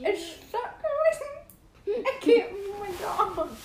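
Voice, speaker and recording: This put-on character voice is squeaky and extremely high-pitched, with a slight echo. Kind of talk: casual.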